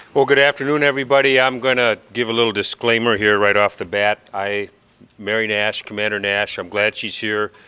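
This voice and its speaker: A man with an American accent speaks at a fairly quick pace in a bright, sharp tone, with fairly low pitch and fairly even intonation. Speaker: police chief. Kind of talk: ceremony speech. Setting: award ceremony with audience.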